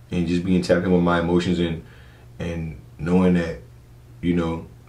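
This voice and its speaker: Audible room echo surrounds a man's very deep, low voice with a dark, mellow tone. He keeps a monotone, flat intonation at a moderate pace. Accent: American. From US South, Charleston, South Carolina (James Island). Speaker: DJ and photographer. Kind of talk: podcast interview, casual chat. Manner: casual, repeats words when starting sentences.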